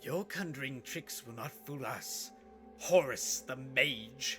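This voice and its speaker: A man's put-on character voice, fairly high for a man, at a fairly slow pace with big swings in loudness, over clear background music and hissing. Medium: audio drama. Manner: hissing, tense.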